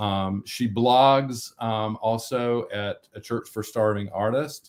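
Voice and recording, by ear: A man speaks with a North Carolina accent at a slow pace. His fairly low pitch holds a fairly even intonation. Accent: American South, North Carolina.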